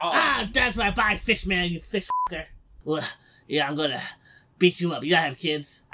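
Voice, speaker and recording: Doing a whiny put-on character voice at a high pitch, a man speaks at a moderate pace over sound effects in the background. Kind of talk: comic overacting. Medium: fan dub. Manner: petty, whiny, pleading.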